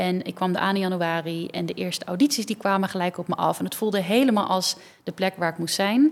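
A woman talks very fast at a medium pitch, her pitch varying in an ordinary way. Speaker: dancer and choreographer. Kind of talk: casual interview.

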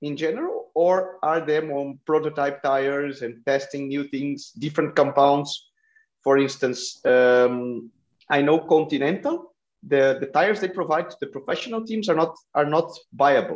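A man speaks with a Brazilian accent at a moderate pace, his pitch fairly high with ordinary variation. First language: Portuguese. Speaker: cycling podcast host. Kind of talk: interview.

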